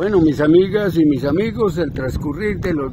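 A man speaks at a fairly slow pace over noticeable background noise. The sound is dry, with no echo. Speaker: interviewer, local video host. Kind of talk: casual interview questions. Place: street. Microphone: phone near.

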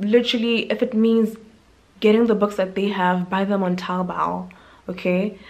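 A woman's medium-pitched, monotone, flat voice at a fairly slow pace, with long, frequent pauses. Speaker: medical intern and YouTuber. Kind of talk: vlog monologue. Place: home room. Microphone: phone near.

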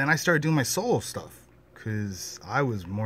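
A man is speaking. His pace is moderate. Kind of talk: casual vlog chat. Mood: reflective, proud. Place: home room. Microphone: phone near.

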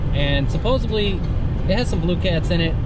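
Clear music plays in the background as a man speaks. The sound is dry, with no echo. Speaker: fishing vlogger. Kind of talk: casual vlog chat. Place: car. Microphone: phone near.

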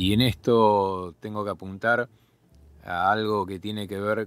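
A man with a Buenos Aires accent speaks at a fairly low pitch. His intonation is monotone and flat, and the recording is very clean with a silent background. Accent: Rioplatense Spanish (Buenos Aires). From Argentina, Buenos Aires southern suburbs. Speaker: journalist and podcast host. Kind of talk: solo podcast commentary.

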